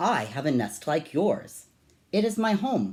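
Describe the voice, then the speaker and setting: In a put-on character voice, a man speaks at a fairly high pitch with very wide pitch swings. The pace is fairly slow, and the recording is very clean with a silent background. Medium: read story.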